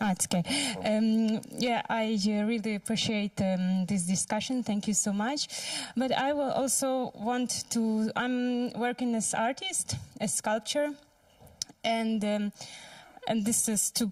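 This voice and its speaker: Speaking at a fairly slow pace with a non-native accent, a woman keeps her fairly high voice at a very even loudness. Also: ordinary pitch variation. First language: not English. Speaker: audience member, artist and sculptor. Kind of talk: audience Q&A comment. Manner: halting.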